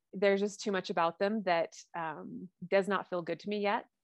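At a medium pitch with ordinary pitch variation, a woman speaks in a dry, close sound with no echo on a very clean recording with a silent background. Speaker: wellness coach. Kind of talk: casual chat. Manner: halting.

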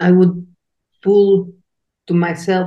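Speaking slowly, a woman keeps her fairly low voice with little pitch movement.

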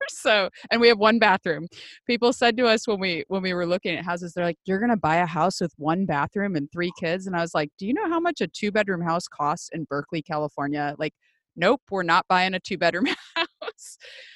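Speaking in a Midwestern US accent, a woman talks fairly quickly at a medium pitch with ordinary pitch variation, in a dry, close sound with no echo and a quiet background. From US Midwest. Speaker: podcast host. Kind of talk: interview conversation.

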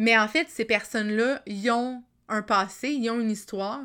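A woman with a Quebec accent speaks at a moderate pace in a fairly high, bright, sharp voice with fairly even intonation. The recording is very clean, with a silent background. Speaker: life coach and podcaster. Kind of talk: solo storytelling podcast.

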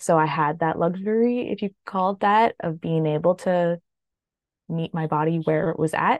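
A woman with a plain, everyday voice and a Canadian accent speaks at a fairly low pitch with ordinary variation and a moderate pace, the sound dry and close with no echo over a quiet background. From Canada. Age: 30s. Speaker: widow sharing her story. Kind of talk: interview testimony.

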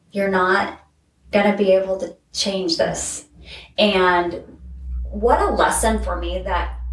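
A woman speaking at a very slow pace, with long, frequent pauses and audible room echo. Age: 40s. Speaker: life coach and college instructor. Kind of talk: casual chat. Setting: in person at host's place.

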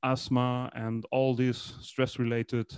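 A man with a German accent, recorded with a dry, close sound, no echo and a quiet background. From Germany. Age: 30s. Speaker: breathing method instructor. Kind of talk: casual interview. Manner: halting, searching for English words.

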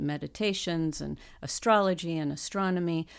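With a very deep, low pitch, a woman speaks at a fairly slow pace and with ordinary pitch variation. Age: 50s. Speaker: tarot card reader and author. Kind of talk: interview. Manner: halting.

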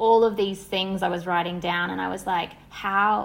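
An Australian accent at a fairly slow pace. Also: woman. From Australia, Sydney. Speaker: wellness entrepreneur and somatic therapist. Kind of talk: casual interview.

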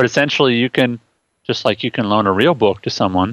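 A plain, everyday voice with fairly even intonation against a quiet background. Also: man, dry, close sound with no echo. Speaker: co-host. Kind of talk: casual podcast chat. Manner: laughing, relaxed.

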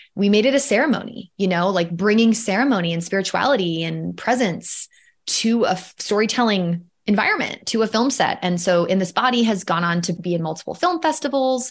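A woman with an unremarkable speaking voice talks at a moderate pace in a medium pitch. Her pitch variation is ordinary, and the recording is very clean with a silent background. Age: 30s. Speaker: filmmaker and storytelling coach. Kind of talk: casual interview chat.

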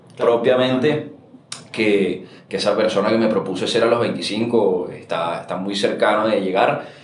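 Noticeable background noise and audible room echo surround this man's voice. He speaks at medium pitch and a fairly slow pace with ordinary pitch variation. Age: 20s. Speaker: startup founder. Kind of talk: interview conversation.

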